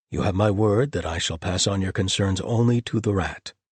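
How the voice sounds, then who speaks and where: A put-on character voice growls at a moderate pace with ordinary pitch variation. The sound is dry and close, with no echo. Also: man, fairly low pitch for a man. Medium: read story. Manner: calm and gentle.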